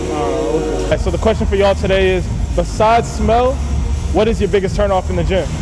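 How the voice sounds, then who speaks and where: A man talks at a fairly quick pace. Clear music plays behind him. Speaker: fitness vlogger interviewing people. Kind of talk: casual vlog chat. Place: gym.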